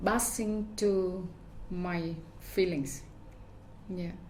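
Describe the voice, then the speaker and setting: A woman with a medium-pitched voice talks over noticeable background noise, with audible room echo. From Vietnam. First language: Vietnamese. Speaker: fashion designer. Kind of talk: interview. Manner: halting.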